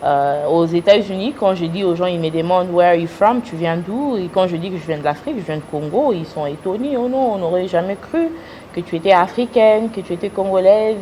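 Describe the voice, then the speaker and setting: A woman at a medium pitch with lively intonation, over noticeable background noise. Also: fairly quick pace. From United States. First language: English (speaking French). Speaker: businesswoman and influencer. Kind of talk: interview. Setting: TV studio. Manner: hesitant.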